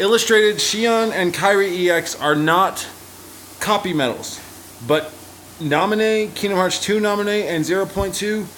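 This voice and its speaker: Over noticeable background noise and audible room echo, a man with a high pitch speaks at a moderate pace with ordinary pitch variation. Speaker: gaming youtuber. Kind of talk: gameplay tutorial. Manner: casual. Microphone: poor audio quality.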